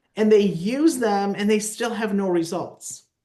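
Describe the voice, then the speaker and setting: The woman's voice is fairly high, with ordinary pitch variation. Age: 60s. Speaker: network marketing team leader. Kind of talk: motivational team call talk. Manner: animated, emphatic.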